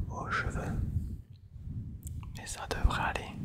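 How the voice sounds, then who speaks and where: Whispering, a man speaks in a soothing tone. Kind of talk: ASMR roleplay, hair-styling. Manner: whispered, soft, soothing.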